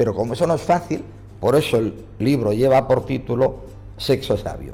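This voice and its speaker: A man with a dark, mellow tone and vocal fry speaks at a moderate pace and medium pitch, with ordinary pitch variation. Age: 60s. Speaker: psychologist and author. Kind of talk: interview answers.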